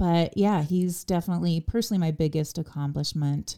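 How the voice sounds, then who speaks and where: The woman's voice sits at a very deep, low pitch. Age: 40s. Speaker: non-profit worker and blogger. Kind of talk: casual interview chat.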